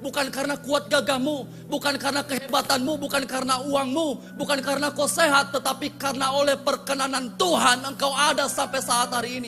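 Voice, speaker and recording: A man's raised, projected voice at an extremely high pitch, at a fairly quick pace with hardly any pauses, over music in the background. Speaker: pastor. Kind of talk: sermon. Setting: church. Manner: animated.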